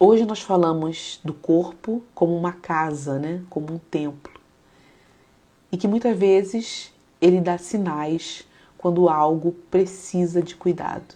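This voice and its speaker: A woman at a very slow pace, with a dark, mellow, calm tone, a fairly low pitch and fairly even intonation. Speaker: psychologist and faith-based live host. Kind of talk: live stream talk mixing psychology and devotional teaching. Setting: live stream. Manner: calm, reflective.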